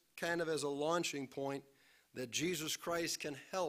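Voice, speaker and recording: At a very slow pace, a man speaks over a quiet background. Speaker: pastor. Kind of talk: sermon. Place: church. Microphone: podium.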